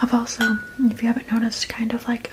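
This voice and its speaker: Whispering at a very fast pace, a woman speaks over noticeable background noise. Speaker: ASMR creator. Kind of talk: casual ASMR eating chat. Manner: whispered.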